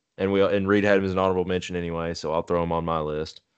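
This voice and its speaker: The intonation here stays fairly even. The speaker has an American accent. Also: man. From Texas. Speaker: podcast host. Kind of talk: casual chat.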